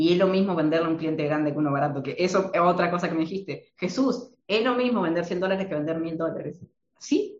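Talking at a fairly quick pace, a man with an Argentine accent speaks at a high pitch. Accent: Argentine Spanish (voseo). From Argentina. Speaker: marketing consultant. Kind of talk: interview.

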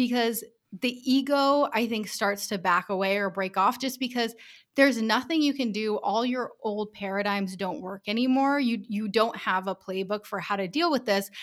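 A plain, everyday voice: a woman with an American accent speaks at a fairly high pitch and moderate pace with ordinary pitch variation, on a very clean recording with a silent background. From US Northeast, Rhode Island. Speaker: business owner. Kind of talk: interview.

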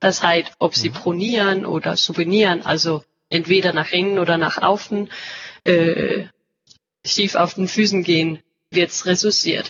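This woman has a medium-pitched voice with a Danish accent and speaks at a moderate pace. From Denmark. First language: Danish (speaking German). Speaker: company representative. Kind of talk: interview. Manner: halting, searching for words.

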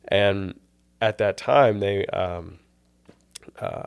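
An unremarkable speaking voice with an American accent and fairly even intonation comes through on a very clean recording with a silent background. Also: man. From US South, Tennessee. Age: 20s. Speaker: seminary student. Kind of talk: casual chat interview.

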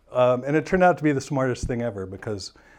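Against a quiet background, a man with a Midwestern American accent talks very fast at a medium pitch. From US Midwest, St. Louis, Missouri. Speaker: realtor. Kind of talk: casual interview. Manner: hesitant, many fillers.

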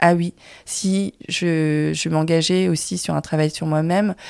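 Recorded very cleanly against a silent background, the speech is very slow and sounds dry and close, with no echo. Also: woman. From France, Vietnamese family. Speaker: filmmaker. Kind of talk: casual chat. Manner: halting.

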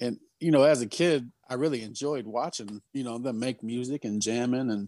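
In an ordinary speaking voice, a man talks at a moderate pace and medium pitch with ordinary pitch variation, recorded dry and close with no echo against a quiet background. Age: 30s. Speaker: rapper. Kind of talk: casual chat.

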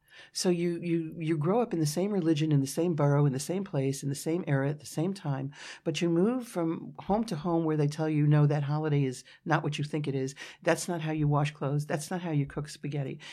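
Speaking at a fairly quick pace with a New York accent, a woman has a very deep, low pitch and a dark, mellow tone against a quiet background. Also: ordinary pitch variation. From New York City, Brooklyn. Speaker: futurist, business owner. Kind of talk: interview.

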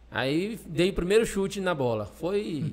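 The pitch of this man's voice swings very widely. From Maranhão, Brazil (Pinheiro). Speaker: Paralympic blind football player. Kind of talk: interview.

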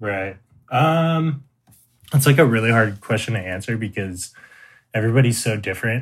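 A somewhat breathy man with an American accent talks at a moderate pace and medium pitch, with ordinary pitch variation. He leaves long, frequent pauses, and the recording is very clean, with a silent background. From US West Coast, San Diego, California. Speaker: electronic music producer. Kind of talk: casual interview.

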